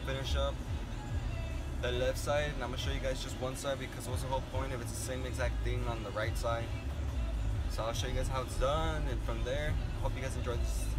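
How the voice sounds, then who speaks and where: Loud music fills the background. Over it, a man keeps a fairly quick pace. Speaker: vlogger doing his own truck repair. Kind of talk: casual vlog chat. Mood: relaxed and upbeat. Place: car. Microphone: phone near.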